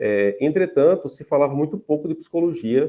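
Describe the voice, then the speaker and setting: In a northeastern Brazilian accent, a man speaks at a moderate pace with a fairly high pitch, a dark, mellow tone and ordinary pitch variation. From Paraíba, Brazilian Northeast. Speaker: psychology professor. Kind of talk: lecture. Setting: video call. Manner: hesitant, many fillers.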